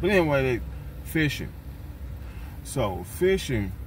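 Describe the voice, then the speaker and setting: With an American accent, a man speaks at a very slow pace. His pitch swings very widely over light background noise. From US South, Tennessee. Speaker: van dweller vlogger. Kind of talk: casual vlog monologue. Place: car. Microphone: phone near.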